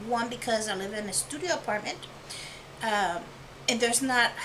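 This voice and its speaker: A woman mumbles at a fairly high pitch with lively intonation, with audible room echo and noticeable background noise. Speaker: art channel creator. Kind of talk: tutorial. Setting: home studio apartment. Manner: mumbling; whispering. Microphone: new lapel microphone.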